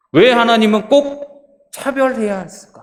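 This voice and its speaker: A man is speaking. His intonation is lively. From Jeolla region, South Korea. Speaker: pastor. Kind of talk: sermon.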